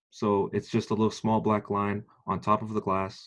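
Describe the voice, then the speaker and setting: A man with a plain, everyday voice speaks at a moderate pace and fairly low pitch against a quiet background. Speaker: military training instructor. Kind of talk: lecture.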